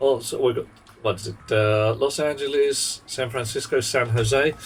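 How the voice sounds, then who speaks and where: A man's medium pitch at a moderate pace, with noticeable background noise. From South London, England. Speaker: video game streamer. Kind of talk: casual live-stream chat while gaming. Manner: animated.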